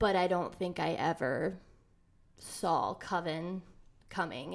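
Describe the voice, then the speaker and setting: On a very clean recording with a silent background, a woman speaks with a Midwestern American accent. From Ohio, Elyria near Cleveland. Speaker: metaphysical shop owner. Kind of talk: casual interview.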